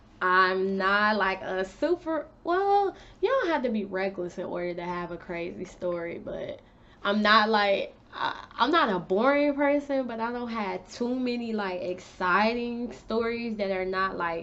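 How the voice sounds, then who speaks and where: Noticeable background noise sits behind a woman speaking at a fairly slow pace. Her voice is fairly high with lively intonation. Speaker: beauty and lifestyle vlogger. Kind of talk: casual storytime vlog.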